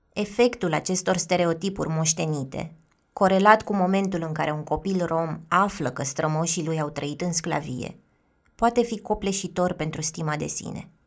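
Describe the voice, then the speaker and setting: Here is a woman with a normal speaking voice, pitched fairly low. She moves at a moderate pace with ordinary pitch variation. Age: 30s. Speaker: podcast host and narrator. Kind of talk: scripted narration.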